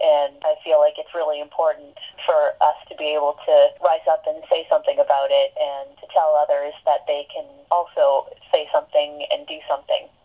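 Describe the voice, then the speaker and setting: Her pace is moderate. The volume of this woman's voice rises and falls sharply. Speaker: barista and worker organizer. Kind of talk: interview. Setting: phone call.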